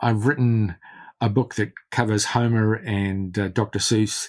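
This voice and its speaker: A New Zealand accent at a moderate pace on a very clean recording with a silent background. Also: man. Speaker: literary scholar and biographer. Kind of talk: interview. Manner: halting, many repetitions.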